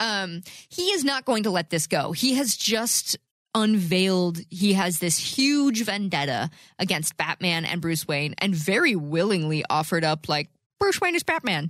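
A woman speaks with an ordinary speaking voice. Her intonation is lively. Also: dry, close sound with no echo, very clean recording, silent background. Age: 20s. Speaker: podcast host. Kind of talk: casual chat. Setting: studio.

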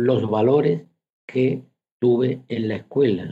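A man talks in a dark, mellow tone. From Fuente de Andalucía, Seville province. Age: 70s. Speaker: retired teacher. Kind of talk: radio interview.

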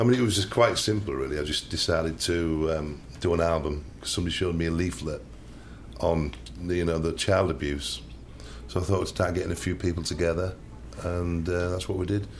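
A man with a Yorkshire accent talks at a very fast pace yet takes long, frequent pauses. His very deep, low voice carries vocal fry and ordinary pitch variation. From Hull, Yorkshire. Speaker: music producer. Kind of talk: casual chat. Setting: studio.

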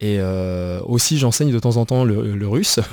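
A man's fairly low pitch and dark, mellow tone at a very slow pace, with fairly even intonation, on a very clean recording with a silent background. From France. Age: 20s. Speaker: working-holiday traveller. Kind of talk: radio interview. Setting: radio studio. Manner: halting.

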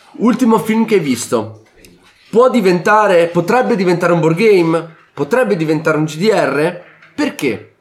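A man talks fairly slowly in a high pitch, his pitch swinging very widely. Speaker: board game podcast host. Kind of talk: casual chat.

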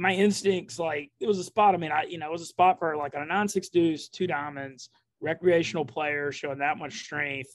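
Ordinary pitch variation marks a plain, everyday voice moving at a moderate pace. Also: man. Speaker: poker player. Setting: coffee shop, remote call.

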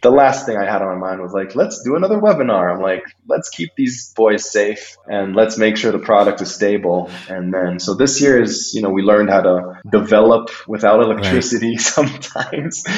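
A man talks at a fairly quick pace with an American accent and hardly any pauses. His voice is an unremarkable speaking voice, fairly low in pitch with ordinary pitch variation. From small country outside the US. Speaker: tech startup founder. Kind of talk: podcast interview.

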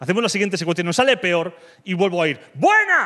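A man's raised, projected voice, animated in tone and lively in intonation. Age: 30s. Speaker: comedian. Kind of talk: stand-up.

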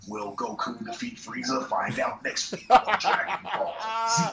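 A man puts on a character voice at a high pitch. His pace is moderate. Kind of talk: announcer. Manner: dramatic, cliffhanger.

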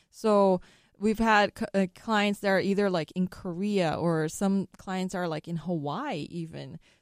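In a plain, everyday voice with fairly even intonation, the speaker keeps a moderate pace, recorded dry and close with no echo against a very clean, silent background. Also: woman. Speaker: law firm staff member, co-host. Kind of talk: casual chat on radio show.

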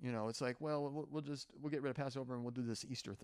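This is an ordinary speaking voice from a man. His pitch sits in the middle range and varies in an ordinary way. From Oklahoma. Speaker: retired lab engineer. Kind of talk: testimony. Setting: at a festival museum.

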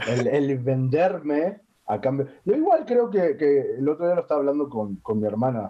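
Very wide pitch swings at a fairly slow pace. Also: man. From Uruguay. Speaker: sex worker. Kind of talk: casual chat.

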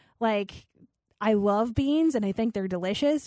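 On a very clean recording with a silent background and a dry, close sound with no echo, a woman speaks at a moderate pace in an animated tone with lively intonation. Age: 30s. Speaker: health and fitness podcast host. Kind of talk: solo podcast monologue.

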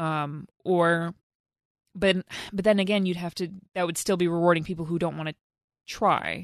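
A woman speaks at a fairly low pitch and a moderate pace, in a monotone, flat intonation with long, frequent pauses. The sound is dry and close with no echo, against a quiet background. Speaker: podcast co-host. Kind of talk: casual banter about games.

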